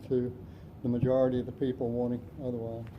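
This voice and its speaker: Speaking at a fairly quick pace, a man with an American accent sounds somewhat breathy. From South Florida. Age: 70s. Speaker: city council candidate. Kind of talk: candidate forum answers.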